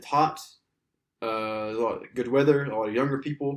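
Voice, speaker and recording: Speaking very fast with an American accent, a man keeps his medium-pitched voice fairly even in intonation. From US South, Alabama. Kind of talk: casual chat.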